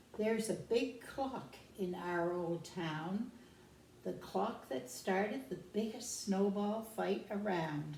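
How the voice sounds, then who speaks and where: Amid noticeable background noise and audible room echo, a woman speaks at a very slow pace with a medium pitch. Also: lively intonation. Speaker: care home resident. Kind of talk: reading aloud.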